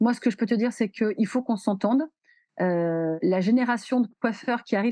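Against a quiet background, a woman with a dark, mellow tone speaks at a moderate pace with ordinary pitch variation, the sound dry and close with no echo. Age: 40s. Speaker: hairdresser and beauty education entrepreneur. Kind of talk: casual chat. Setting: podcast recording.

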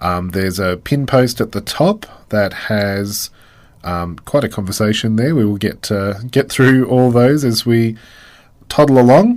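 Here a man with an Australian accent talks at a fairly slow pace and a medium pitch. The recording is very clean, with a silent background. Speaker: community radio host. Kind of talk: casual chat. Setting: radio studio.

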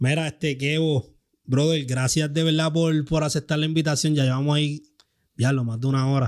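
With a Puerto Rican accent, a man speaks at a moderate pace in a fairly high pitch, his intonation fairly even and his loudness very even. The recording is very clean, with a silent background. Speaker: podcast host. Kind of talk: casual chat.

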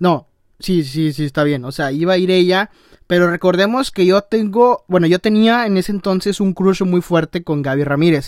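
A man talks at a high pitch in an animated tone, with ordinary pitch variation. The sound is dry and close, with no echo. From Tamaulipas, Mexico. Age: young. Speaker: podcaster and YouTuber. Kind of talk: casual monologue.

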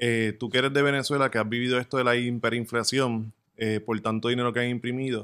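Talking at a fairly quick pace, a man with a plain, everyday voice and medium pitch keeps a fairly even intonation. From Puerto Rico. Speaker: crypto podcast co-host. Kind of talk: podcast interview.

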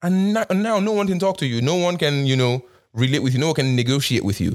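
Speaking at a very fast pace, a man's voice makes very wide pitch swings on a very clean recording with a silent background. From Nigeria. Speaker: podcast host. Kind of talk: solo monologue on current events. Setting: Canada. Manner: reflective, conversational.

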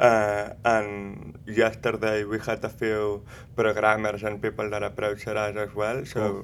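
Monotone, flat intonation marks this man's speech. He talks at a fairly slow pace with a fairly low pitch. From Spain (Barcelona, Catalonia). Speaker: film producer. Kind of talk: interview. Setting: film festival.

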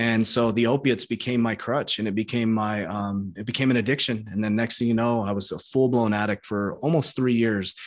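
A man talks at a fairly quick pace in a normal speaking voice, his intonation fairly even and his speech running with hardly any pauses. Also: medium pitch for a man. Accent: American. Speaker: online coach and entrepreneur. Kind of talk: interview.

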